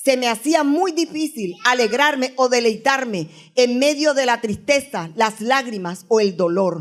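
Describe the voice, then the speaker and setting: With an ordinary speaking voice, a woman speaks at a fairly slow pace in a fairly high pitch with lively intonation, on a very clean recording with a silent background. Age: 60s. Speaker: guest preacher. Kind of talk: sermon.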